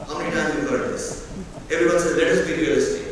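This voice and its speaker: Light background noise and strong room echo surround a man's voice. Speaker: keynote speaker. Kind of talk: keynote speech. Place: hall. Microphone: pa.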